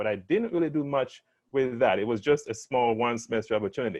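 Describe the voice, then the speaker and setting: A man with a Jamaican accent speaks at a medium pitch with ordinary pitch variation. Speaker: life science panelist. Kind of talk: panel discussion. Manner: halting, many repeated words.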